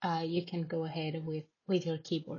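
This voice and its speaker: A somewhat breathy woman with a Spanish accent. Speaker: tech company team member. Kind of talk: screen-recorded tutorial. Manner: casual, with many filler words.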